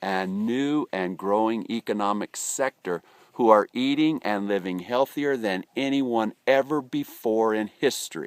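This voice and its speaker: A man with an American accent talks at a fairly slow pace with ordinary pitch variation. The recording is very clean, with a silent background and a dry, close sound with no echo. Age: 50s. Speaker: network marketing entrepreneur. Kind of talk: business presentation to camera. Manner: soft-spoken.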